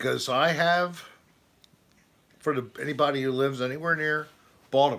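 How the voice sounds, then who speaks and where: Bright and sharp in tone, a man with a fairly high pitch and ordinary pitch variation speaks at a moderate pace with long, frequent pauses. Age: 60s. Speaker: livestream host. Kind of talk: casual chat. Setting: home livestream. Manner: animated.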